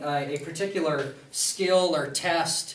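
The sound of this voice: Audible room echo surrounds a man speaking at a fairly high pitch with a fairly bright tone.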